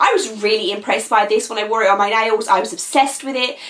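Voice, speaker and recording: Talking at a fairly quick pace, a woman with a British accent has a fairly high pitch. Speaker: nail polish vlogger. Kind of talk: casual product review. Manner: chatty, animated.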